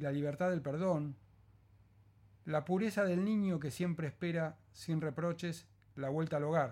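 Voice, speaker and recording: At a fairly slow pace, a man speaks with a high pitch and a calm, gentle tone. His pitch variation is ordinary, and the recording is very clean with a silent background. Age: 50s. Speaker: psychologist and podcaster. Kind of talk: reading aloud of a reflective essay; casual podcast intro.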